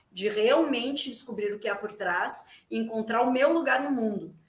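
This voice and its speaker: A woman with a fairly high pitch talks at a moderate pace in an ordinary speaking voice. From Rio Grande, southern Brazil. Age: 40s. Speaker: theatre actress. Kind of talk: casual interview chat. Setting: video call live stream from home.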